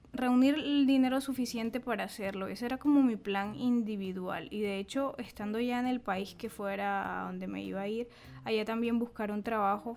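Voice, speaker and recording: An unremarkable speaking voice from a woman, fairly high-pitched, at a moderate pace with ordinary pitch variation, in a very clean recording with a silent background. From Caribbean Colombia, Bolívar. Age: 30s. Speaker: podcast co-host, journalist. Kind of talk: casual chat.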